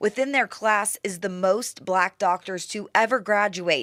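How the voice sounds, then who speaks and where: A woman with an American accent has an ordinary speaking voice, medium pitch and ordinary pitch variation. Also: very clean recording, silent background. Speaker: TV news reporter and anchor. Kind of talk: TV news reporter package.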